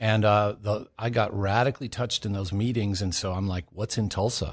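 Over a quiet background, a man with an American accent and an unremarkable speaking voice talks at a fairly quick pace, his pitch fairly low and his intonation fairly even. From California. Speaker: missionary. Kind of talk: testimony.

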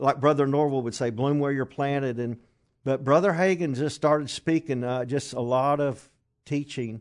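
This man talks at a medium pitch with fairly even intonation and a Kentucky accent. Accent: Southern US (Kentucky). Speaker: traveling minister. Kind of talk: casual interview chat.

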